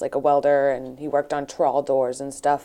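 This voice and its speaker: The voice has a dark, mellow tone with a southeastern New England accent. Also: woman. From New Bedford, Massachusetts. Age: 20s. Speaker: fishnet maker. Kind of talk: interview. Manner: halting.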